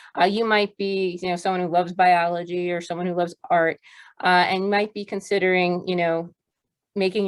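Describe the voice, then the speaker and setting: With fairly even intonation, a woman speaks at a fairly quick pace. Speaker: education school faculty presenter. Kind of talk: webinar presentation. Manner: fast.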